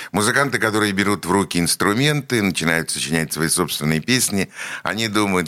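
A man's very deep, low voice with a bright, sharp tone and ordinary pitch variation, in a very clean recording over a silent background. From Leningrad, city centre. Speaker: radio host. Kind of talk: interview. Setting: radio studio.

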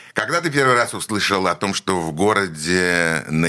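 This man's very deep, low voice has a bright, sharp tone and ordinary pitch variation. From Leningrad, city centre. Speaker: radio host. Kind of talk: interview. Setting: radio studio.

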